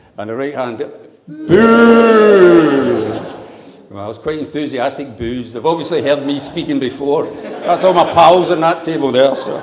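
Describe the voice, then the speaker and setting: With a Glaswegian accent, someone talks at a fairly slow pace with lively intonation and big swings in loudness, amid noticeable background noise and audible room echo. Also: man, fairly high pitch for a man. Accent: Glaswegian Scottish. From Scotland, Glasgow. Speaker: father of the bride. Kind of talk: wedding speech. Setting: wedding reception with audience. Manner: humorous, audience-engaging.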